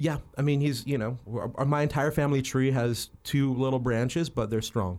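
With an American accent, a man speaks at a moderate pace in a plain, everyday voice, medium in pitch with fairly even intonation, on a very clean recording with a silent background. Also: very even loudness. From New Mexico, US. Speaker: photographer. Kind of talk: casual chat.

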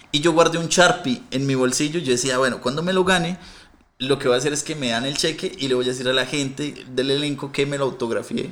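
A man speaks very fast. His voice is fairly high, and its pitch varies in an ordinary way. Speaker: comedian. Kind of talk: casual chat.

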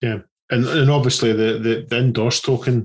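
A man's somewhat breathy voice, monotone and flat in intonation. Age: 40s. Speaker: podcast co-host. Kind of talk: casual interview.

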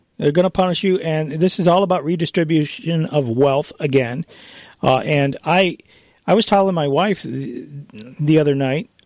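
A man with a plain, everyday voice, an American accent, fairly high pitch, ordinary pitch variation and a moderate pace. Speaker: radio host. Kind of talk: talk radio monologue. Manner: conversational, chuckling.

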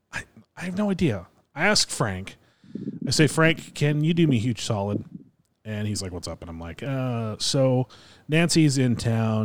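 Over a silent background in a very clean recording, a man speaks in an animated tone. His intonation is lively. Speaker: podcast host. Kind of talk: casual banter. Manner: animated, jokey.

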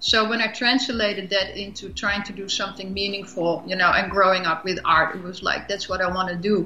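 Against noticeable background noise, a woman at medium pitch talks at a fairly quick pace with hardly any pauses and fairly even intonation. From Europe. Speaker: filmmaker. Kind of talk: interview.

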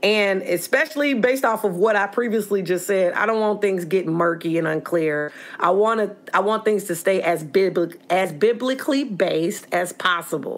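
A put-on character voice, raspy, talks with lively intonation. The pace is moderate, with hardly any pauses. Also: woman, medium pitch for a woman. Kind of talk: earnest preaching.

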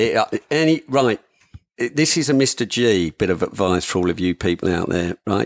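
With a British accent, a man talks at a moderate pace and medium pitch, his intonation lively. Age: 50s. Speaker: hunting gear maker. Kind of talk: casual chat.

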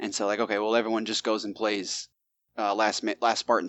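A man talks at a very fast pace with a fairly low pitch. His intonation is monotone and flat. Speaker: podcast co-host. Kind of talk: casual chat, live podcast.

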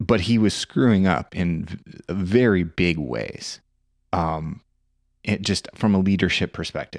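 A man with an American accent speaks at a fairly slow pace in a very deep, low voice, with ordinary pitch variation and a dry, close sound with no echo, on a very clean recording with a silent background. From Nebraska. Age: 30s. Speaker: podcast host, police officer and military veteran. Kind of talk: interview; ad read.

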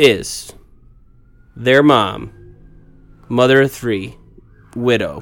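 With vocal fry and a medium pitch, a man talks at a very slow pace with long, frequent pauses and ordinary pitch variation. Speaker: podcast co-host. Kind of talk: casual chat. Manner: loud.

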